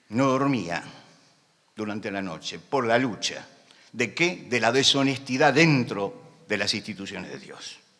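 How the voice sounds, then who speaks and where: Audible room echo surrounds a man speaking at a fairly slow pace. His tone is bright and sharp, with lively intonation. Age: 70s. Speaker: pastor. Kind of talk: sermon. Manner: loud; impassioned.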